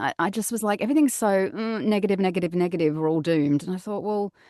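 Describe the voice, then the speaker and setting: With an Australian accent, a woman talks very fast at a medium pitch, her tone dark and mellow and her intonation lively. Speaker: voice over artist and actor. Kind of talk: podcast interview answer. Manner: down-to-earth, casual.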